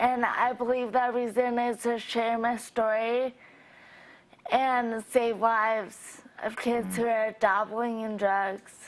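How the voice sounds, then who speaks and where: A woman speaks at a very slow pace in a fairly high pitch. Her intonation is monotone and flat, in a very clean recording with a silent background. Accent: American. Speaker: overdose survivor. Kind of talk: interview testimony. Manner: slow, effortful speech.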